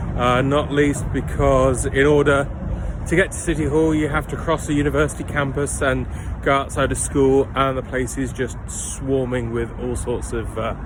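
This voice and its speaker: Speaking at a moderate pace with a London accent, a man is heard over noticeable background noise, with audible room echo. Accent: southern English (London). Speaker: travel vlogger. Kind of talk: casual vlog narration. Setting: outdoors.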